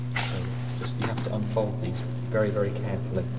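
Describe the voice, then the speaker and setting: Loud noise fills the background while a man's voice comes through. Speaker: cave safety instructor. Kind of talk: instructional demonstration. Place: tunnel cave.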